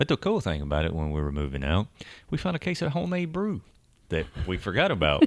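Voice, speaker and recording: A man with a Southern US accent at a very fast pace. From Tennessee, US South. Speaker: podcast host, expat. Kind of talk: casual chat, podcast conversation.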